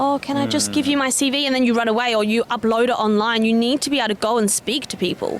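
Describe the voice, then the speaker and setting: Over noticeable background noise, a woman with an Australian accent speaks very fast in a high pitch. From South Australia (Adelaide). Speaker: secondary school cover teacher. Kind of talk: street interview.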